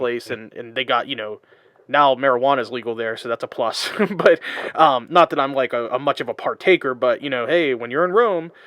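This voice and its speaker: The voice is a plain, everyday voice, moving at a fairly quick pace. Its sound is dry and close, with no echo. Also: man, medium pitch for a man, ordinary pitch variation. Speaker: podcast host. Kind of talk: casual podcast conversation.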